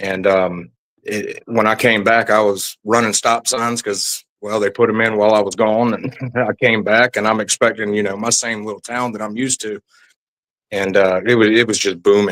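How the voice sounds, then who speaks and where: In a South Carolina Lowcountry accent, a man speaks in a fairly low pitch with monotone, flat intonation. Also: moderate pace. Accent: Southern US (South Carolina Lowcountry). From US South, South Carolina Low Country. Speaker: military veteran. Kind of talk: interview testimony.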